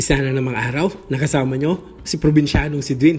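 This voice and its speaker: The speaking pace is fairly quick, with noticeable background noise present. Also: man. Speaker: cooking vlogger. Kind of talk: voiceover narration for cooking vlog.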